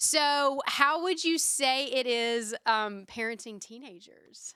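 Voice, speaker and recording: A woman with a Southern US accent speaks very slowly in a high, bright, sharp, raised and projected voice, with ordinary pitch variation and big swings in loudness. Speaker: podcast host. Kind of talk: casual chat.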